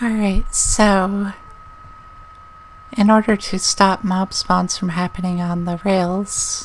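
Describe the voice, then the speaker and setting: A soft-spoken woman talks at a very slow pace, with long, frequent pauses and noticeable background noise. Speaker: gaming YouTuber. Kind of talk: let's play commentary. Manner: calm.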